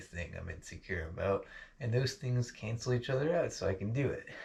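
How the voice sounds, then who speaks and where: Somewhat breathy, a man with an American accent speaks quickly at a medium pitch with lively intonation over a quiet background. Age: 20s. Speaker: vlogger. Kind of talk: casual monologue vlog. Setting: home basement. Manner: halting, lots of fillers.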